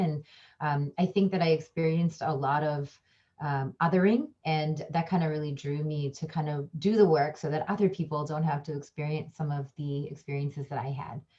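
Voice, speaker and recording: With a Midwestern accent, this somewhat breathy voice has a dark, mellow tone, fairly even intonation and a moderate pace. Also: woman. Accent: American, Midwest. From US Midwest, Chicago suburbs. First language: a language of India. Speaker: communication professor and diversity trainer. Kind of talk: panel discussion. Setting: online panel. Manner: hesitant, many fillers.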